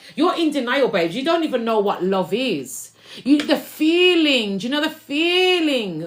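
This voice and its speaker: A loud, high-pitched woman in an animated tone, at a fairly slow pace with hardly any pauses and very wide pitch swings, against noticeable background noise. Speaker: spiritual reader and musician. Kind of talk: livestream tarot-style spiritual reading.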